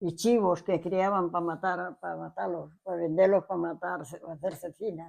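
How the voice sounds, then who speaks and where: A woman with a fairly low pitch speaks at a fairly slow pace with hardly any pauses, vocal fry, fairly even intonation and big swings in loudness, against a quiet background. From Spain, Cantabria (Liébana). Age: 80s+. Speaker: centenarian villager. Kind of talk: interview. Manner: halting.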